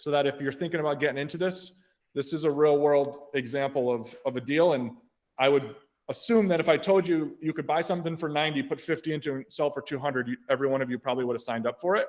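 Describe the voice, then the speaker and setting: A man talks at a very fast pace and a fairly high pitch. His pitch variation is ordinary. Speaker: real estate investor and trainer. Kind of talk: training presentation.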